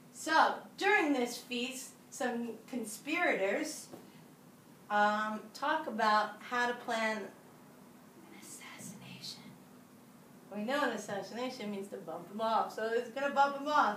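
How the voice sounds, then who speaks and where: Audible room echo surrounds a woman with a high-pitched voice. She speaks at a fairly slow pace with lively intonation. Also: long, frequent pauses, big swings in loudness. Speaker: teacher. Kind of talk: lecture. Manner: animated.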